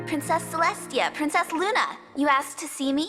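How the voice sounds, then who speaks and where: A female-sounding voice performs a put-on character voice pitched high. Faint music sits in the background. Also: moderate pace. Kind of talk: audio drama. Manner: polite, hesitant.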